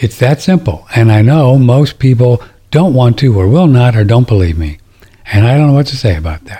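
A man with a medium pitch and a dark, mellow tone talks at a moderate pace, somewhat breathy, with lively intonation. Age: 70s. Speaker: alternative health radio host. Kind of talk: call-in radio show monologue. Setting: studio broadcast streamed on audio and video. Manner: casual, rambling with fillers.

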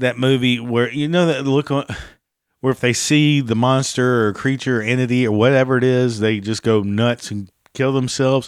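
A man speaks in a plain, everyday voice at a medium pitch and a moderate pace. His intonation is fairly even, and the recording is very clean with a silent background. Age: 50s. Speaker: podcast host. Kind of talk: casual monologue.

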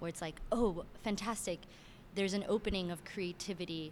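Here is an unremarkable speaking voice in an American accent. The intonation stays fairly even. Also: woman. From Miami, Florida, Cuban-Venezuelan family. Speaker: director and choreographer. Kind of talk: interview.

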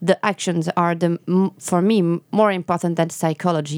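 A woman speaks at a moderate pace in a fairly low pitch with a French accent and a dark, mellow tone. The sound is dry and close with no echo, on a very clean recording with a silent background. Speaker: novelist. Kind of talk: interview. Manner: halting.

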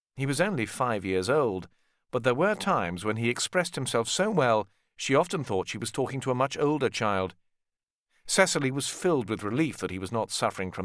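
A man at a medium pitch and moderate pace, with big pitch swings, a fairly bright tone and a very clean recording with a silent background

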